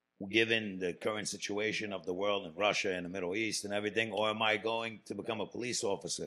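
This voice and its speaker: A man talks at a fairly quick pace in a fairly low pitch. His tone is bright and sharp, with fairly even intonation. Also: very clean recording, silent background. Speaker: returning guest co-host. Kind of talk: casual interview chat.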